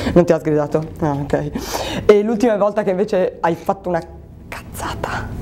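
A woman speaks in a playful tone with ordinary pitch variation over light background noise. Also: moderate pace. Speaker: interviewer for a local show. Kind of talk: casual interview. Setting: sports club locker room. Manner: playful, joking. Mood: friendly, playful. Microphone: lapel.

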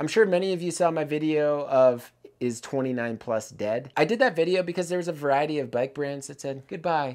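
The speaker keeps a moderate pace over a quiet background. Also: man. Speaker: bike reviewer. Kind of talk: product review commentary. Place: workshop.

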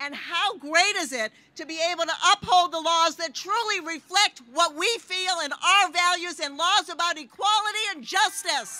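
Over noticeable background noise, a woman speaks at a moderate pace in a raised, projected voice of extremely high pitch, with ordinary pitch variation and big swings in loudness. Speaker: city mayor and speaker. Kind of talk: rally speech. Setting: outdoor rally with crowd. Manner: proud, upbeat, formal.

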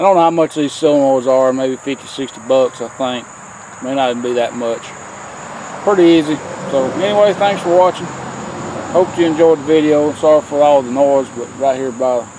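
Long, frequent pauses break up a man's speech, delivered at a moderate pace with ordinary pitch variation. The sound is dry with no echo, though noticeable background noise is present. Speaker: tractor owner explaining repair. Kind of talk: tutorial. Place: farm machine. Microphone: phone near.

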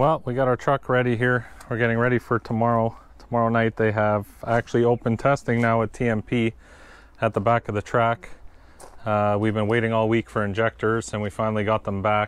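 A man talks at a fairly quick pace in a flat monotone. The sound is dry, with no echo. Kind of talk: casual vlog chat. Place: street. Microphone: phone near.

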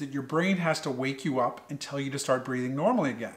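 Over a quiet background, a man with an American accent speaks at a moderate pace in a fairly high, bright, sharp voice with fairly even intonation. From US Northeast, Connecticut. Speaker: pediatric sleep doctor. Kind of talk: educational talk to schoolchildren. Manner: friendly, conversational. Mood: friendly, explanatory. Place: home room. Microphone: studio mic.

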